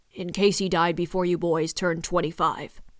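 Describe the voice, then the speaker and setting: Using a put-on character voice, a woman speaks raspily at a moderate pace with flat, monotone intonation. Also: fairly low pitch for a woman. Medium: read story. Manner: hesitant, solemn.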